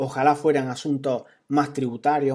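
Against a quiet background, a man speaks with a fairly high pitch and a dark, mellow tone. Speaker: podcaster on productivity. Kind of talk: storytelling monologue. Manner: casual.

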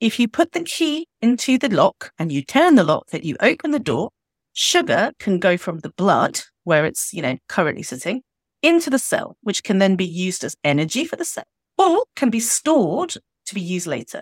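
In a very clean recording with a silent background and a dry, close sound with no echo, a woman with a fairly high pitch speaks at a moderate pace through very wide pitch swings. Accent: British. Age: 40s. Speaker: doctor and fat activist. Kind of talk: podcast interview. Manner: animated.

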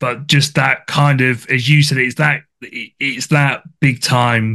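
With a British accent, a man speaks in a bright, sharp tone and fairly even intonation. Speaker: podcast host. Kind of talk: casual interview chat. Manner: halting, repeats words.

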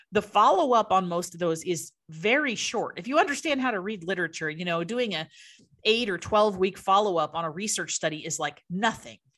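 Over a quiet background, a woman with an unremarkable speaking voice talks at a fairly quick pace and medium pitch with lively intonation. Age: 40s. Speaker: nutrition expert. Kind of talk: interview.

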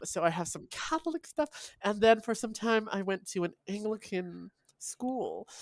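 A woman speaks with a Canadian accent at a fairly slow pace, in an unremarkable speaking voice. Her pitch is fairly high, on a very clean recording with a silent background. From Vancouver, Canada. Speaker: writer and poet. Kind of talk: interview conversation.

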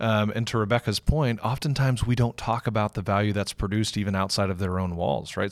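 In a very clean recording with a silent background, a man with a fairly low pitch and ordinary pitch variation speaks in a plain, everyday voice. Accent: American. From Texas, Houston. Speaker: innovation studio managing director, army veteran. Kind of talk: podcast interview.

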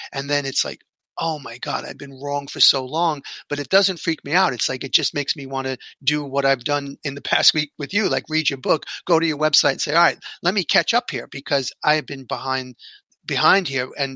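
With a New York accent, a man with a fairly high pitch talks at a moderate pace in a bright, sharp tone, using fairly even intonation in a dry, close sound with no echo. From New York City. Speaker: podcast host.

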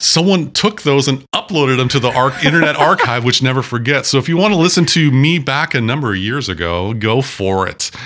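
A man with an American accent talks at a fairly quick pace with hardly any pauses. He has an unremarkable speaking voice, a medium pitch and lively intonation. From US Pacific Northwest, Washington State. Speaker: podcast co-host. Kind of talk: casual chat. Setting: home studio.

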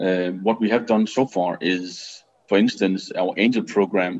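A man with a Danish accent, fairly low pitch, ordinary pitch variation and a moderate pace. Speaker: business angel network CEO. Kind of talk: interview. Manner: halting.

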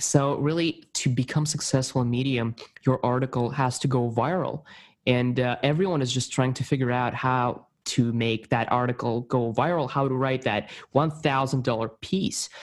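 An enthusiastic man with a non-native accent and medium pitch at a moderate pace, on a very clean recording with a silent background. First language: not English. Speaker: podcast host. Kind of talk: casual interview.

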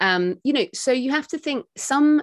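A woman with a British accent at a fairly slow pace, lively intonation, a dry, close sound with no echo and a quiet background. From UK. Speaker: author and podcaster. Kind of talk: casual interview chat. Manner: fluent, explanatory.

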